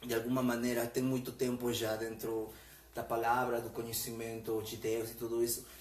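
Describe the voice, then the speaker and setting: A man with a Spanish accent speaks at a moderate pace and medium pitch, with audible room echo and noticeable background noise. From Peru. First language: Spanish (speaking Portuguese). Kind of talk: religious conversation on live stream. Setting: Facebook live stream. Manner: halting, with fillers.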